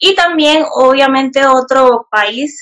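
Her pace is very slow. The woman's pitch sits high. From Panama, Panamá Oeste. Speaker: e-commerce entrepreneur and YouTuber. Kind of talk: interview.

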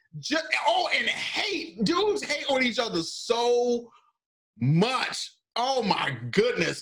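A man speaks in a raised, projected voice with a bright, sharp tone. His intonation is lively. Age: 30s. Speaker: podcast host. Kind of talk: casual chat.

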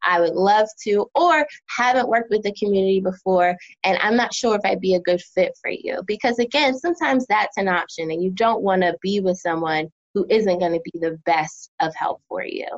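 Speaking fairly quickly with lively intonation, a woman with an American accent uses a plain, everyday voice at medium pitch. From New Jersey and Philadelphia. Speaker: therapist. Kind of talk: casual interview.

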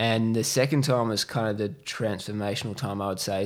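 The voice carries an Australian accent and ordinary pitch variation. It moves at a fairly quick pace. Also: man. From Western Australia (Perth, Cocos Islands). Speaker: e-commerce entrepreneur, agency owner. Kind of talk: casual interview chat.

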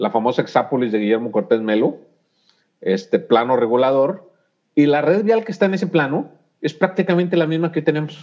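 A man's fairly high voice with very wide pitch swings at a fairly quick pace. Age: 50s. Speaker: civil engineer, urban mobility expert. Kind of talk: casual interview.

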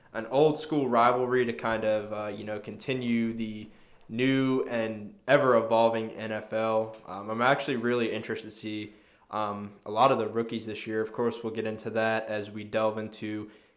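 Amid audible room echo, a man speaks at a moderate pace and medium pitch with monotone, flat intonation. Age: 20s. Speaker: sports podcast co-host. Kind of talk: casual chat. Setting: studio.

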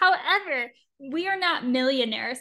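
Against a quiet background, a woman projects a raised, high-pitched voice with a bright, sharp tone, lively intonation and a moderate pace. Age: 20s. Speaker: podcast co-host. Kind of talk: casual chat. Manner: animated.

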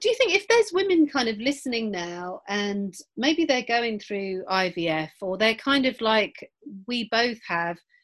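A woman's fairly high, fairly bright voice, with lively intonation at a fairly slow pace

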